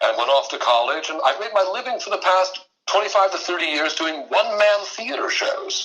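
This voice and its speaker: In an American accent, a man with a high pitch uses a raised, projected voice at a moderate pace, his pitch swinging very widely. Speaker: mentalist and voice actor, performer of one-man theater shows. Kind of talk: podcast interview answer, conversational storytelling.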